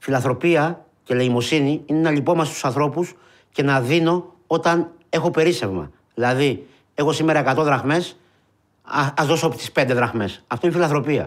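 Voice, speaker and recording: Speaking at a moderate pace over a quiet background, a man with a fairly high pitch shows ordinary pitch variation. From Greece (Peloponnese and Epirus roots); Greece. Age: 40s. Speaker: unemployed marketing worker, soup kitchen organiser; interviewee. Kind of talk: testimony. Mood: emotional, earnest, sorrowful. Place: studio.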